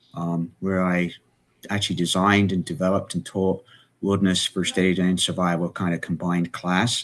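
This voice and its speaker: Intonation stays monotone and flat throughout a very clean recording with a silent background. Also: man. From England. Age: 60s. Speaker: emergency management expert and author. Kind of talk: live show interview. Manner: hesitant, many fillers.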